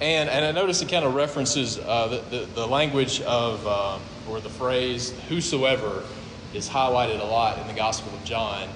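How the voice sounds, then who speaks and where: A man talks at a moderate pace with medium pitch and ordinary pitch variation. The recording has noticeable background noise and audible room echo. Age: 30s. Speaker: pastor. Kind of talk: sermon. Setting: church.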